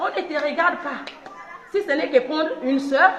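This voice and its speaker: Over noticeable background noise and audible room echo, a woman is speaking. She uses lively intonation at a moderate pace. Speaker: squatter resident. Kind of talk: street interview.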